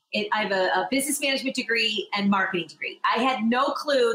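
In a raised, projected voice with a high pitch, a woman talks at a very fast pace with lively intonation. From Michigan, US. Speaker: podcast host, event production CEO. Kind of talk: casual interview chat.

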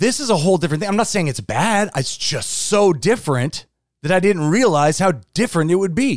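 Pitched high, a man talks at a fairly quick pace. His tone is animated and his intonation lively. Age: 40s. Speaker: church podcast co-host. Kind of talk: casual chat.

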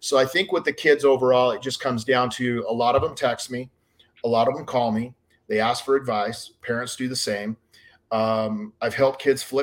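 On a very clean recording with a silent background, a man with an American accent talks at a moderate pace and a medium pitch. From southern Utah, US. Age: 50s. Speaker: baseball scouting director, former pro scout and player. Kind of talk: casual interview chat.

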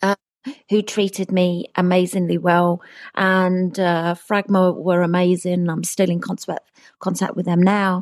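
A woman with a British accent speaks at a fairly slow pace in a medium pitch, her intonation monotone and flat, and the sound is dry and close with no echo. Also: quiet background. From England. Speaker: pop singer. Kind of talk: casual interview. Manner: laughs a lot.

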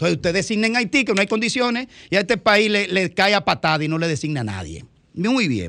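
With a raised, projected voice, a man talks at a very fast pace and high pitch, his tone bright and sharp and his intonation lively, in a very clean recording with a silent background. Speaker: radio panelist. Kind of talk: radio talk show discussion.

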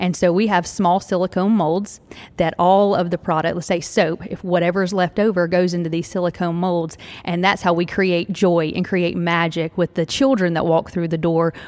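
This woman speaks with a Southern US accent. Her pitch is fairly low, and her intonation is monotone and flat. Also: moderate pace. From Tennessee. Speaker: franchise owner, former speech pathologist. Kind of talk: live interview before audience. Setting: retail store with live audience.

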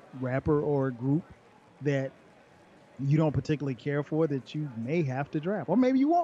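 Speaking with an American accent, a man uses lively intonation, a fairly high pitch and a moderate pace. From US South. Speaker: podcaster. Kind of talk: casual chat.

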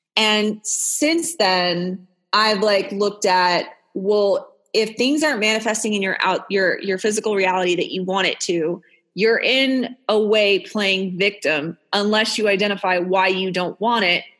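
Speech at a fairly slow pace with ordinary pitch variation is heard over a quiet background. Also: woman, medium pitch for a woman. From Texas. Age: 30s. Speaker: mindset coach. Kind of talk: interview. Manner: casual, off the cuff.

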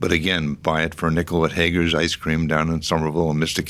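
A man's very fast speech in a very deep, low pitch with an American accent. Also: very clean recording, silent background. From Boston area, Massachusetts (Medford). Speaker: real estate founder and philanthropist. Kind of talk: interview. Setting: studio.

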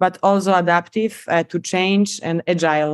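A woman with a Polish accent speaks at a medium pitch and moderate pace with fairly even intonation, in a very clean recording with a silent background and a dry, close sound with no echo. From Poland. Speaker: biomedical engineer. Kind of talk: podcast interview.

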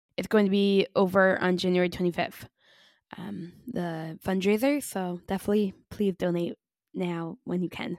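On a very clean recording with a silent background and a dry, close sound with no echo, a woman with a medium pitch and an ordinary speaking voice talks at a fairly slow pace. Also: fairly even intonation. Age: 30s. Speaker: podcast host. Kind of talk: scripted intro and outro; casual interview chat.

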